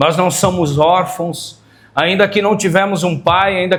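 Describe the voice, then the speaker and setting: Here a man speaks at a high pitch with fairly even intonation. His pace is fairly slow. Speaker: pastor. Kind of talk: sermon. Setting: church.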